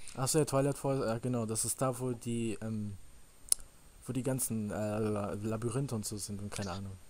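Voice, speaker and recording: At a moderate pace, a man speaks at a medium pitch in a dark, mellow tone over light background noise. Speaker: gaming YouTuber. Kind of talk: Let's Play commentary. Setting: voice chat over Skype/Teamspeak. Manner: animated. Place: home room. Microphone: headset.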